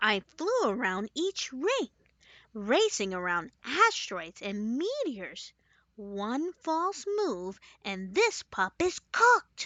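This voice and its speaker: A female-sounding voice performs a put-on character voice at a high pitch. The pace is very slow. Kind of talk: children's bedtime story. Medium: read story. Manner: cheerful, earnest.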